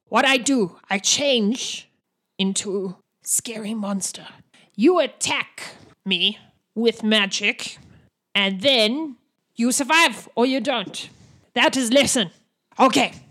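Using a put-on character voice, a woman talks at a fairly slow pace in a fairly high pitch, with long, frequent pauses. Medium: actual play. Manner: broken clipped grammar, curt.

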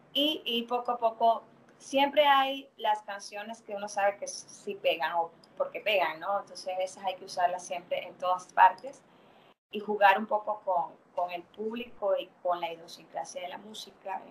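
In an unremarkable speaking voice, a woman with a medium pitch and ordinary pitch variation speaks at a fairly slow pace, her loudness swinging widely. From Venezuela. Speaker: fitness dance instructor. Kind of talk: interview.

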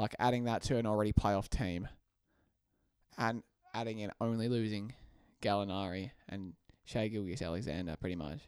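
A man's fairly low voice with ordinary pitch variation, long and frequent pauses, and an Australian accent. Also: moderate pace. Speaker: basketball podcast co-host. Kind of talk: casual chat.

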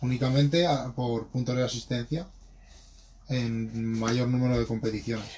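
A man's dark, mellow, somewhat breathy voice at medium pitch, with fairly even intonation, a moderate pace and long, frequent pauses. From Spain, Madrid. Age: 20s. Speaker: BMX rider. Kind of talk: interview.

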